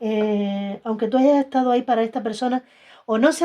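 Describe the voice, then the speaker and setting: Pitch moves with ordinary variation. The tone is dark and mellow. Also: woman. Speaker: tarot reader. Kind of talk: tarot reading.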